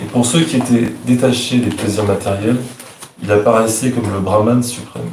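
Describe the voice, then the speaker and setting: A man speaks in a French accent at a moderate pace, medium in pitch with fairly even intonation. There is noticeable background noise and audible room echo. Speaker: devotee reading verses. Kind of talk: reading aloud.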